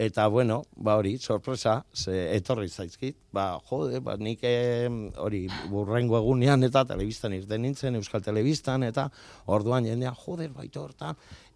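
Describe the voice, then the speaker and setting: The recording is very clean with a silent background as a man speaks at a medium pitch with ordinary pitch variation. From Bilbao, Basque Country. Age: 50s. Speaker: bus passenger honoured for driving bus. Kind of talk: radio interview.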